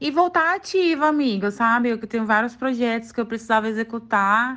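The woman uses a plain, everyday voice, pitched fairly high with ordinary pitch variation, and keeps a moderate pace. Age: 20s. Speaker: university student. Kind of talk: interview testimony.

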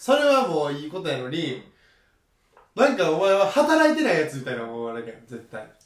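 A man with a Kansai accent talks in an animated tone at a fairly high pitch, his pitch swinging very widely. His loudness rises and falls sharply, and the room echoes audibly. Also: fairly quick pace. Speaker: podcast co-host. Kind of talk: casual chat. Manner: animated, frequent laughter.

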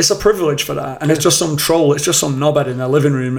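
Over noticeable background noise, a man with fairly high pitch speaks in a flat, monotone way. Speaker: football podcast host. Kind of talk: casual banter about football. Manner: chatty, storytelling.

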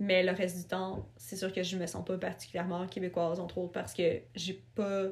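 A woman's voice, medium in pitch, comes across somewhat breathy. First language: not French; family of Ukrainian and Russian origin (speaking French). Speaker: writer. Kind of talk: casual interview.

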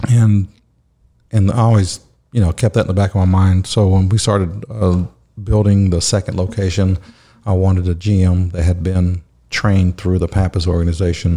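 The voice has an American accent, a dark, mellow tone and a somewhat breathy quality. It moves at a moderate pace with monotone, flat intonation and long, frequent pauses. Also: man. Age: 50s. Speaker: restaurant business owner. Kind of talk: casual chat. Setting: office.

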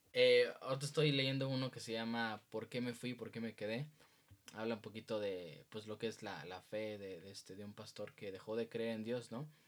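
This man has an ordinary speaking voice, pitched in the medium range, with ordinary pitch variation and a moderate pace. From Mexico. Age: 20s. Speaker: youth group leader. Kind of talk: interview.

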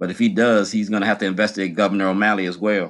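On a very clean recording with a silent background, a man speaks with a fairly low pitch. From Illinois, Lake County (Waukegan). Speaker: podcaster and activist. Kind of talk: monologue. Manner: animated.

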